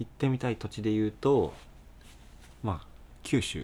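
This man's voice carries vocal fry, with ordinary pitch variation. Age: 20s. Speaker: band bassist, podcast co-host. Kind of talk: casual chat.

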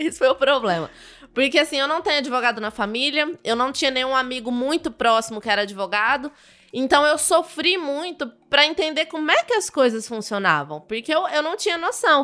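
A woman speaks in a raised, projected voice. Her pitch is high and her pace fairly quick. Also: lively intonation. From Brazil, southern Minas Gerais (Muzambinho). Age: young. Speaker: criminal defense lawyer. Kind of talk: casual interview.

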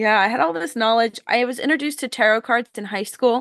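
A woman with a plain, everyday voice speaks at a fairly quick pace with fairly even intonation. The background is quiet. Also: dry, close sound with no echo. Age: 30s. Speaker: occultist and podcast host. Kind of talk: casual interview chat.

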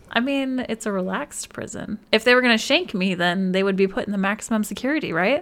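A woman with a fairly high pitch talks at a very fast pace with hardly any pauses. Her intonation is lively. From Alaska. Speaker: podcast co-host. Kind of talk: casual chat.

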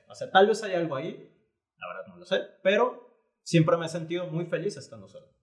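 A man speaks at a fairly quick pace in a high voice, with ordinary pitch variation and big swings in loudness. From Panama, then Guadalajara, Mexico. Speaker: graphic artist and entrepreneur. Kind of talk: casual interview conversation.

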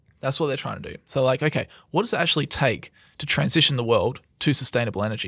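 In a very clean recording with a silent background, a man with an Australian accent talks at a very fast pace, his fairly high pitch carrying a bright, sharp tone. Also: ordinary pitch variation. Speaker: podcast host. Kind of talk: casual chat. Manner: casual, conversational.

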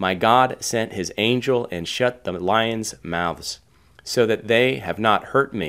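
A passage is read out loud. The delivery is natural.

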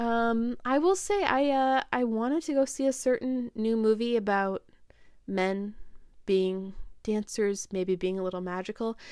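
A woman with an ordinary speaking voice, an American accent, a fairly high pitch and a fairly slow pace. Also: ordinary pitch variation. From upstate New York. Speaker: film podcast host. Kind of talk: casual solo review podcast. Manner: frequent laughs and fillers.

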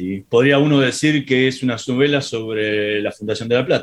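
A medium-pitched man with fairly even intonation. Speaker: radio host. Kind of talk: radio interview.

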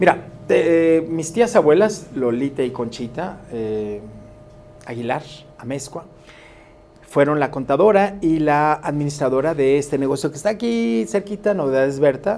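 A man with a fairly high pitch speaks at a fairly slow pace over noticeable background noise. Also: lively intonation. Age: 50s. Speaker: DJ and lawyer. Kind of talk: radio interview. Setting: studio.

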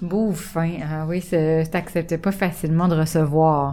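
Clearly audible background noise sits behind the recording. The woman's voice is pitched fairly low. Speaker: radio host. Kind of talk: casual chat.

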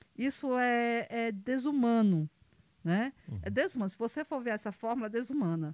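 Speaking with a Ceará accent, a woman talks at a moderate pace with fairly high pitch and lively intonation, in a dry, close sound with no echo. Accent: Northeastern Brazilian (Cearense) Portuguese. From Brazil, Ceará (Pedra Branca, rural). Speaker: football club president. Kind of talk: casual interview. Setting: studio.

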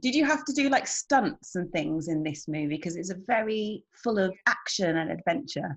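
With a British accent, a woman speaks at a moderate pace with hardly any pauses, somewhat breathy and medium in pitch. Her pitch swings very widely against a quiet background. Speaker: online show host. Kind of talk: interview.

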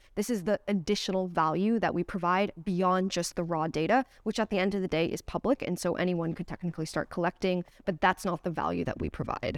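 In a plain, everyday voice, a woman speaks at a fairly quick pace, fairly low in pitch with ordinary pitch variation, the sound dry and close with no echo on a very clean recording with a silent background. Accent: American. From United States. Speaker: crypto research director. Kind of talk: interview. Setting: company office.

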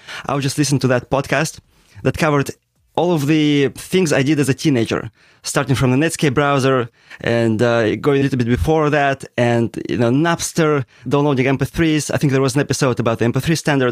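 Speaking in an unremarkable speaking voice, a man talks at a fairly quick pace with a fairly high pitch, fairly even intonation and very even loudness. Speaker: podcast co-host. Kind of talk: casual interview chat.

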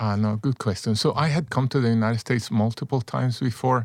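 A man speaks in a Spanish accent with ordinary pitch variation. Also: very clean recording, silent background. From El Salvador, San Salvador. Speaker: former executive, personal growth coach. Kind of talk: interview.

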